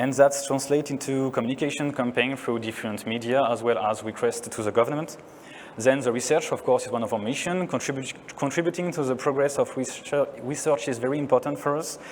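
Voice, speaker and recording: A man with a French accent, medium in pitch, at a fairly quick pace with fairly even intonation, over noticeable background noise. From France. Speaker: neuroscientist. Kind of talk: conference talk.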